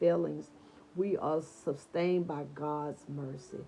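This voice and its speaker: The tone is dark, mellow and warm, with ordinary pitch variation. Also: woman. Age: 60s. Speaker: online devotional host. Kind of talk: devotional talk. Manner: warm, conversational.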